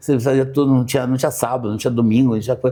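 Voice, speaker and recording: His tone is dark and mellow. The man's pitch sits in the medium range. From Brazil, interior of Paraná. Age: 60s. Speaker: architect. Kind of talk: interview conversation. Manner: halting, many repetitions.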